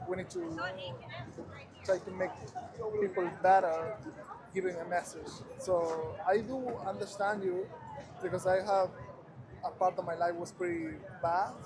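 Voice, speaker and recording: Amid noticeable background noise and audible room echo, a man with a high pitch speaks at a fairly slow pace with fairly even intonation, leaving long, frequent pauses. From Ecuador. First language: Spanish. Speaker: passerby, photographer. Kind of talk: casual street conversation. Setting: outdoors in Times Square.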